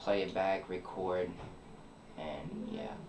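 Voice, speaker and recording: A man's very slow speech is accompanied by audible room echo and noticeable background noise. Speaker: young musician. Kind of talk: interview. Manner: halting.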